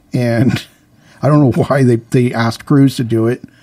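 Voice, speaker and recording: Here a man talks at a medium pitch with fairly even intonation. Noticeable background noise runs behind him. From Canada. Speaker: comedian guest. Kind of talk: casual comedic interview, bits and joking. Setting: radio studio.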